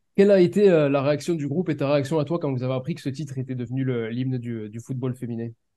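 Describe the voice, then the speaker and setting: A man with a medium-pitched, dark, mellow voice talks at a very fast pace in a southern French accent, with hardly any pauses and ordinary pitch variation. His loudness swings widely. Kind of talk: interview, conversational. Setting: interview.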